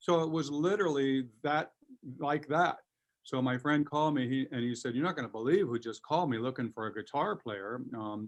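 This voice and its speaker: A man with a fairly high pitch speaks at a fairly quick pace with ordinary pitch variation. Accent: Californian. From Southern California (Covina). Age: 60s. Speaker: guitarist and producer. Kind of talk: interview.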